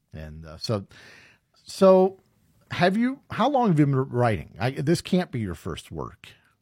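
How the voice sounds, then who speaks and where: On a very clean recording with a silent background, a man speaks somewhat breathily at a fairly slow pace with very wide pitch swings. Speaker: radio host. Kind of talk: casual interview.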